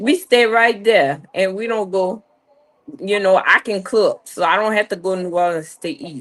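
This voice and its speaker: Talking at a moderate pace with an American accent, a woman has an ordinary speaking voice, medium pitch and ordinary pitch variation. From US South, Louisiana, St. Tammany Parish (North Shore). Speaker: live chat guest. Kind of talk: casual chat.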